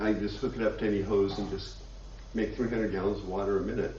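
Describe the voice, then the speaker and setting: An American accent from a male speaker, plus audible room echo. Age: 70s. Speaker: congregation member, community organizer. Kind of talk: announcement.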